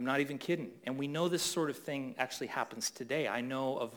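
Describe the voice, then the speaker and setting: With a Canadian accent, a man speaks in a plain, everyday voice at medium pitch, with ordinary pitch variation, on a very clean recording with a silent background. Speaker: pastor. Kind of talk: sermon.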